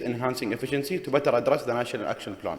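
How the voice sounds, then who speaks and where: Noticeable background noise behind a man's voice, plus audible room echo. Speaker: government official. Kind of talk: conference presentation. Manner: fast; halting.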